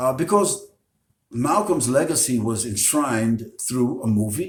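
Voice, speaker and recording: The man's delivery is fairly slow and somewhat breathy, with lively intonation. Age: 70s. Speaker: Islamic preacher. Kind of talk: interview. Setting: Facebook live broadcast. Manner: hesitant with many fillers.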